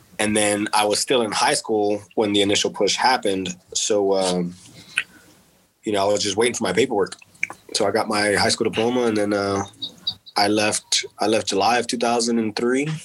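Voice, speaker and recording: Speaking with a Texan accent, a man with a fairly low pitch keeps a moderate pace, fairly even intonation and very even loudness against noticeable background noise. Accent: Texan American English. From Texas. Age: 30s. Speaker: war veteran. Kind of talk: casual chat. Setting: at home.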